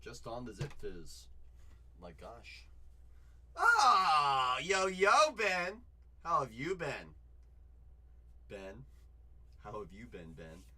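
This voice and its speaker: A man speaks at a very slow pace, with long, frequent pauses and big swings in loudness. Audible room echo fills the recording. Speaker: card breaker livestream host. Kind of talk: live card break stream.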